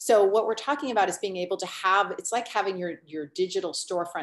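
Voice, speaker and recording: At a fairly quick pace, a woman talks in a medium pitch with lively intonation. It is a normal speaking voice. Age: 50s. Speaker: online business coach. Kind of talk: webinar presentation.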